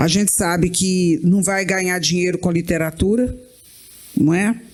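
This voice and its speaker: Noticeable background noise sits behind a woman speaking at a medium pitch and a fairly slow pace. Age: 60s. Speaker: writer. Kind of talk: panel discussion.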